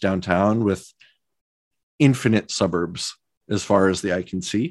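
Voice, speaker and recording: This man speaks with a Midwestern American accent. His pitch is fairly low. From US Midwest (Omaha, Nebraska). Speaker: architect and professor. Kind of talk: interview conversation.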